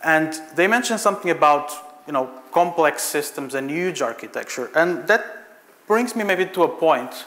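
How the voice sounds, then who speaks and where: In a Portuguese accent, a man with a high voice talks at a moderate pace with ordinary pitch variation, under audible room echo and noticeable background noise. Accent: Portuguese, non-British. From Portugal. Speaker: software architect, conference speaker. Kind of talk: conference talk. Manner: hesitant, many fillers.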